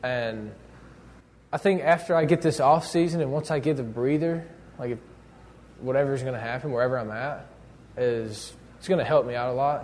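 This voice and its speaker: An ordinary speaking voice, this man talks at a fairly high pitch and a moderate pace with ordinary pitch variation. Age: 20s. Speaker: pro baseball pitcher. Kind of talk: interview.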